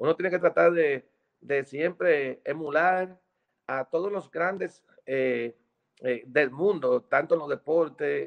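In a plain, everyday voice, the speaker moves at a fairly slow pace with ordinary pitch variation. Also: man. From Dominican Republic. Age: 50s. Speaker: merengue musician. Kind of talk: interview. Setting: video call.

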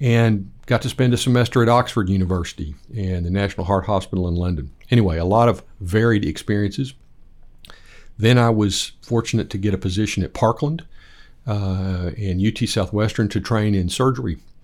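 On a very clean recording with a silent background, a man with a West Texas accent speaks at a fairly quick pace. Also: fairly low pitch for a man, ordinary pitch variation. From Lubbock, Texas. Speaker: plastic surgeon and church elder. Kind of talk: interview. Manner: halting.

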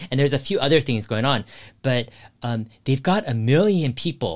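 On a very clean recording with a silent background, a man speaks at medium pitch with lively intonation. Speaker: investing youtuber. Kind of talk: casual chat. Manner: fast.

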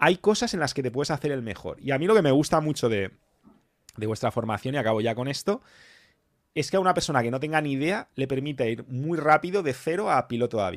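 A very fast, animated male voice, fairly high in pitch with lively intonation, in a very clean recording with a silent background. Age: 40s. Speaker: motivational channel host. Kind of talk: live stream panel talk.

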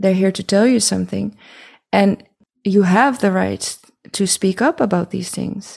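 Long, frequent pauses break up a woman's speech, which has vocal fry. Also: medium pitch for a woman, ordinary pitch variation. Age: 40s. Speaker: haptotherapist. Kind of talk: interview conversation.

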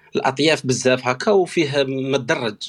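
A man with a plain, everyday voice speaks at a medium pitch with fairly even intonation. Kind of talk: casual chat. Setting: online audio room.

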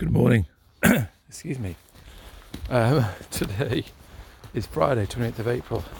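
A man with a medium-pitched voice talks at a moderate pace with long, frequent pauses. Noticeable background noise is present. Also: ordinary pitch variation. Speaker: dog walker, podcaster. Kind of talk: solo daily diary, casual monologue. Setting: outdoors in woods. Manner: relaxed, rambling, descriptive.

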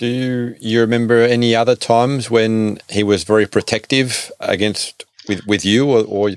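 A man speaks in a plain, everyday voice at medium pitch, at a moderate pace with fairly even intonation. The sound is dry and close, with no echo. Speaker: podcast host. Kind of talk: interview, conversational.

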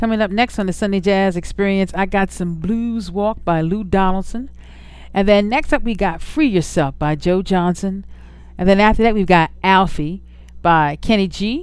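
A woman with a plain, everyday voice, medium pitch, ordinary pitch variation and a moderate pace. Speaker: radio DJ. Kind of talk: radio DJ patter introducing jazz sets between songs. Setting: radio station broadcast. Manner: warm, upbeat and easygoing, gushing about songs.

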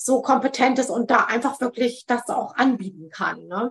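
High-pitched female voice with fairly even intonation. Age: 40s. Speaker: psychotherapy practitioner. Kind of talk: interview.

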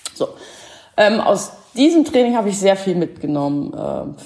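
A woman speaks at a moderate pace. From Schleswig-Holstein, northern Germany. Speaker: horse behaviour therapist. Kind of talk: casual interview. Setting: online call. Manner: hesitant, many fillers.

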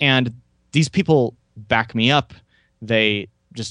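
This is a man with a plain, everyday voice at medium pitch and ordinary pitch variation. The sound is dry and close with no echo, over a quiet background. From Oklahoma, US. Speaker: memory and language-learning coach, podcaster. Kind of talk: interview.

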